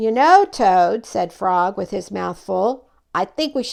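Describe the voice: What you hear here is plain reading aloud.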